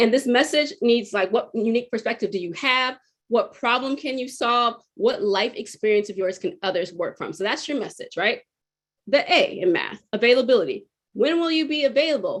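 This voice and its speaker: This woman is loud and high-pitched. Her pitch swings very widely. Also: moderate pace. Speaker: public speaker. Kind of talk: webinar talk. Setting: webinar.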